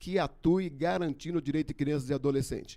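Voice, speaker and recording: A man's dark, mellow tone at a fairly high pitch, with ordinary pitch variation. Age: 60s. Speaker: election candidate. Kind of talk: debate statement. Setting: studio.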